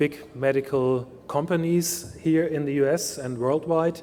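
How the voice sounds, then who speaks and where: A man speaks in a German accent with fairly even intonation. Noticeable background noise sits behind him. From Germany. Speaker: industry research scientist. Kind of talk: keynote talk.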